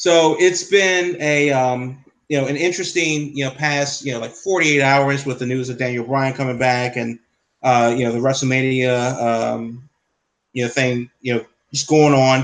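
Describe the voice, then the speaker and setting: Here a man speaks at a moderate pace in a medium pitch. He has fairly even intonation and an ordinary speaking voice. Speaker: podcast host. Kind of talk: casual chat.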